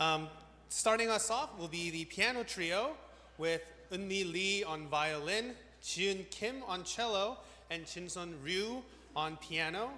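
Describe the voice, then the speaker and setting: A man's high, raised, projected voice at a very slow pace, with audible room echo. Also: ordinary pitch variation. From Korea, moved to US at five. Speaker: event host. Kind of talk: event emcee announcements. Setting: church hall stage with audience.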